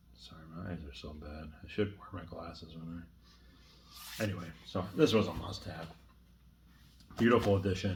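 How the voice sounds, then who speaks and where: With audible room echo, a man talks in a very deep, low voice at a moderate pace, leaving long, frequent pauses, his loudness swinging widely and his pitch varying in an ordinary way. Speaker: horror film collector. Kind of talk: casual chat. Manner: casual, hesitant with fillers.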